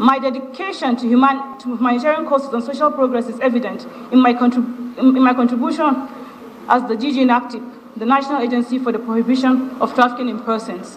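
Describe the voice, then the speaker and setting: Someone with a Nigerian accent speaks at a very fast pace against noticeable background noise. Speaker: ministerial nominee, senior public official. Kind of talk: formal prepared statement at a confirmation hearing. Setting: legislative chamber screening session. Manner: formal; occasionally halting, with restarts.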